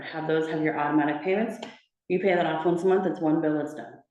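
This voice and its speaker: Heard with audible room echo, a woman speaks at a fairly low pitch with fairly even intonation. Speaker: personal banker. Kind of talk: talk to a community group. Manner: fast.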